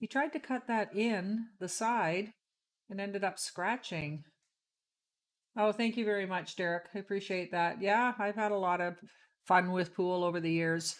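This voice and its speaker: A woman speaks at a moderate pace and a medium pitch, with ordinary pitch variation, in a normal speaking voice. The recording is very clean, with a silent background. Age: 60s. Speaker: pool player, stream commentator. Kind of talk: live commentary. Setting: live stream at a pool tournament.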